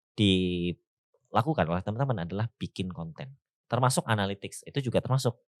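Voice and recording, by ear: Speaking with a Javanese accent, a man talks at a fairly quick pace with lively intonation. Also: dry, close sound with no echo. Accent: Javanese-accented Indonesian.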